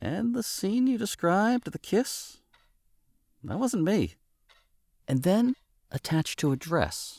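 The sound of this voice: In a put-on character voice, a man speaks slowly at a high pitch with big pitch swings, long, frequent pauses and a slightly mellow tone, on a very clean recording with a silent background.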